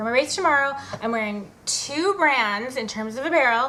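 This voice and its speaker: A woman's voice at a moderate pace, with lively intonation and audible room echo. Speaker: fitness blogger. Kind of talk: casual vlog tutorial.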